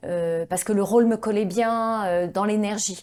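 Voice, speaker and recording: Very clean and silent in the background, the recording carries a woman's dark, mellow voice at a medium pitch with ordinary pitch variation. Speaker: voice actress. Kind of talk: interview.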